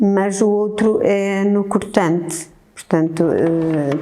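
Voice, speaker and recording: Speaking very slowly, a woman is heard here. Noticeable background noise and audible room echo fill the clip. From northern Portugal, Ul (Oliveira de Azeméis). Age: 60s. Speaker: baker. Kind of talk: interview testimony. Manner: hesitant, many fillers.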